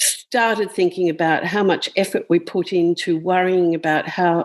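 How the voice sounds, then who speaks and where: A woman's fairly low-pitched voice, a normal speaking voice, fairly slow in pace with ordinary pitch variation. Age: 60s. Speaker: author. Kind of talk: interview conversation.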